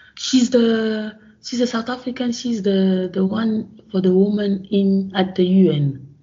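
This woman's voice comes across somewhat breathy. Her delivery is fairly slow. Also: medium pitch for a woman, ordinary pitch variation, hardly any pauses. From Gabon. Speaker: professor of microbiology. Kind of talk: interview. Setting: remote call from home. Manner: halting.

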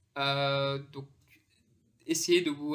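A man with a fairly high pitch and a bright, sharp tone, on a very clean recording with a silent background. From France, Pakistani heritage. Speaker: international jurist. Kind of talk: interview conversation. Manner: halting, many repetitions and fillers.

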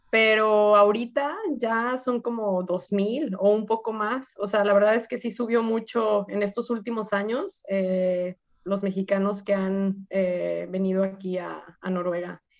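A woman's normal speaking voice at a medium pitch, fairly slow, with ordinary pitch variation. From Mexico, Guadalajara. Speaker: community organization president. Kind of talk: interview.

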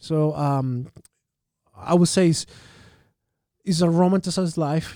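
Fairly slow male speech in a Chilean accent, fairly high in pitch, with a dark, mellow tone. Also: fairly even intonation. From Santiago, Chile. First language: Spanish. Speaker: tourism storyteller and artist. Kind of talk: casual interview.

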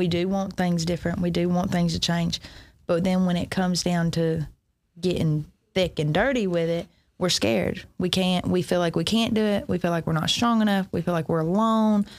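A woman with a Southern US accent, fairly low-pitched, with ordinary pitch variation, on a very clean recording with a silent background. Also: moderate pace, very even loudness. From US South (west Georgia / Alabama). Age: 30s. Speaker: recovery ministry leader. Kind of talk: testimony. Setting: church.

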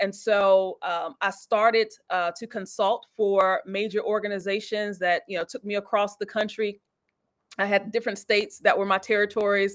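A woman's medium-pitched voice keeps a moderate pace, its intonation monotone and flat. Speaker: church elder and executive. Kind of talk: casual interview conversation about church and business. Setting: online live video show.

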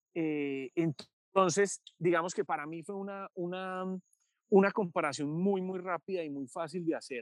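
Recorded with a dry, close sound and no echo, a man talks at a fairly slow pace in a high pitch with fairly even intonation. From Colombia, Medellín. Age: 30s. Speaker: journalist and author. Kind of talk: interview. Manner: frequent hesitations and repetitions.

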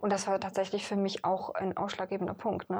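Intonation stays monotone and flat as a woman talks fairly quickly. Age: 20s. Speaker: boutique owner. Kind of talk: interview.

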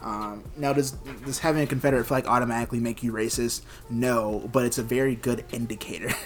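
The speech moves at a very fast pace with fairly even intonation, and noticeable background noise can be heard. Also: man, medium pitch for a man. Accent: American. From US South, Georgia. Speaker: podcast host. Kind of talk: casual chat.

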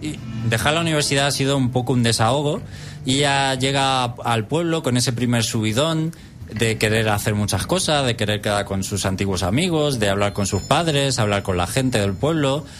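Noticeable background noise sits behind a man's voice. He talks at medium pitch with ordinary pitch variation. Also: moderate pace, very even loudness. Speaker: radio host. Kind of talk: game review; casual chat. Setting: radio studio.

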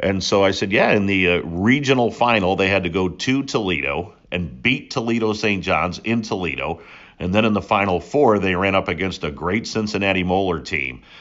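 A man with a fairly low pitch and vocal fry talks at a moderate pace. His intonation is lively and he takes hardly any pauses. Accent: American. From New England (New Hampshire), born upstate New York. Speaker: sports play-by-play announcer. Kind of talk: interview.

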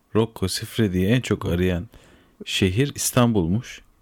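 In a very clean recording with a silent background, a man talks quietly at a fairly slow pace, his fairly low pitch showing ordinary variation. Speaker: podcast host. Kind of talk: casual chat.

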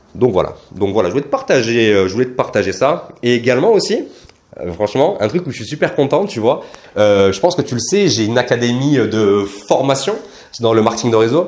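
Lively intonation marks a man's medium-pitched speech at a fairly quick pace. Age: 20s. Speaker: MLM coach and podcaster. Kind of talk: casual monologue podcast.

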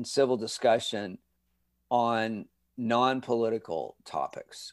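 A man speaks with a Californian accent. His pitch sits in the medium range. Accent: Californian American. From Southern California (Redondo Beach). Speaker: communication professor. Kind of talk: interview. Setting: video call.

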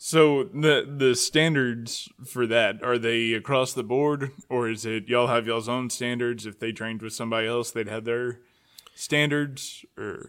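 A man speaks at a medium pitch and a fairly slow pace, his intonation fairly even. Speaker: podcast host. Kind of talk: casual interview. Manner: filler-heavy, hesitant.

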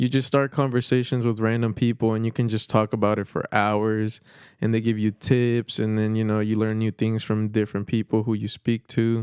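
The recording is very clean, with a silent background and a dry, close sound with no echo. A man talks at a moderate pace and medium pitch in a monotone, flat intonation. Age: 20s. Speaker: mechanic in training. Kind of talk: casual chat.

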